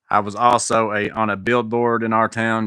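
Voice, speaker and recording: A man's fairly low voice with a bright, sharp tone and a dry, close sound with no echo. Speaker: maintenance youtuber. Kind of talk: live stream Q&A chat. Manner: casual, halting.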